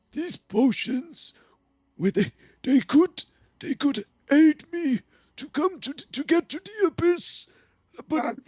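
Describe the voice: Long, frequent pauses break up this put-on character voice. The pitch sits high. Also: fairly slow pace.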